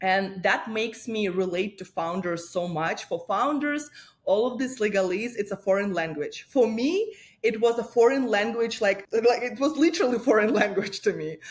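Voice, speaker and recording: A woman with a Russian accent speaks at a moderate pace, her fairly high voice carrying lively intonation. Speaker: lawyer and startup founder. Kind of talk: interview.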